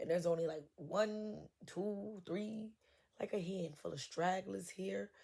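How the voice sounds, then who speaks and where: A woman's dark, mellow tone carries a somewhat breathy edge. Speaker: tarot reader. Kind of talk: tarot reading. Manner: casual, conversational.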